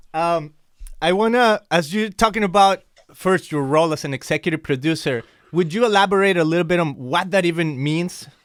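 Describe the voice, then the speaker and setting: In a Mexican accent, an enthusiastic voice talks at a fairly quick pace with ordinary pitch variation, on a very clean recording with a silent background. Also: man, high pitch for a man. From Mexico. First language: Spanish. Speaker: podcast host. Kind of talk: interview conversation.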